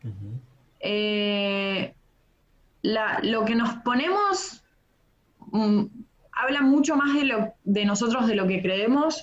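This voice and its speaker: A woman with a fairly high pitch speaks at a very slow pace, leaving long, frequent pauses, her loudness very even and her intonation lively. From Argentina, Bariloche (Patagonia). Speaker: textile designer and comedian. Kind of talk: casual interview chat.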